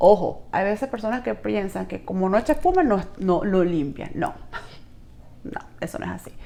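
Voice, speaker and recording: A woman with a Venezuelan accent at a moderate pace. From Venezuela (Trujillo, rural Andes). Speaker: network marketing distributor. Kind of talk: product review vlog, casual. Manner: chatty, informal, with hesitations.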